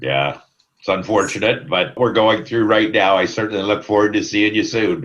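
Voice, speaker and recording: A man with a Canadian accent, fairly low in pitch, with vocal fry, ordinary pitch variation, very even loudness and a moderate pace. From Ontario, Canada. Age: 60s. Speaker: sales manager. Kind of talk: casual interview. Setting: video call. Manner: hesitant, many fillers.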